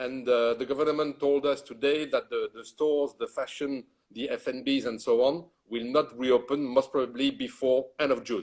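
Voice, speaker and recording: At a moderate pace, a man with a French accent and a fairly high pitch speaks in a monotone, flat intonation. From France. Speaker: retail executive and consultant. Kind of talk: interview.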